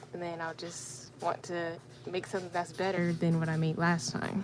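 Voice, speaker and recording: A woman speaks quietly at a moderate pace, with a fairly low pitch and fairly even intonation, amid noticeable background noise. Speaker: crafting YouTuber. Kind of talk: live stream Q&A while crafting. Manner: hesitant.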